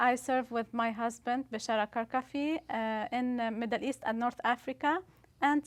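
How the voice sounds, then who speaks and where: The woman's voice is high in pitch and moves at a moderate pace. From Lebanon, Beirut. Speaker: missionary. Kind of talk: interview testimony. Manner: halting, many fillers.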